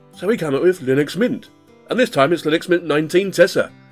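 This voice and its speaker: Over music in the background, a man talks at a fairly quick pace in a high pitch with lively intonation. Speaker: Linux tutorial YouTuber. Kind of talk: casual screencast narration. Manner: upbeat, chatty.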